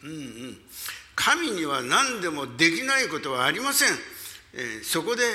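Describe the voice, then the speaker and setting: The man's high pitch swings very widely, and there is noticeable background noise. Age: 80s. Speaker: pastor. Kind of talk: sermon. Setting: church.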